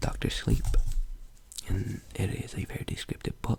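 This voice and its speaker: Noticeable background noise runs under someone whispering at a fairly slow pace. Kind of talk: casual talk to camera, intro with disclaimer. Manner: soft-spoken.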